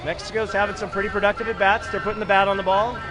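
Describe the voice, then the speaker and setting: A man's speech is heard with some room reverberation and clear background noise. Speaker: baseball play-by-play commentator. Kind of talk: live commentary. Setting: small broadcast room at packed stadium.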